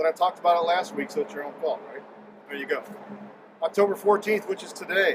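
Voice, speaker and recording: A high-pitched man talks very fast in an American accent, with ordinary pitch variation and big swings in loudness. Long, frequent pauses break up his speech, and noticeable background noise is present. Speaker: local show host. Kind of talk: casual chat. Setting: outdoors.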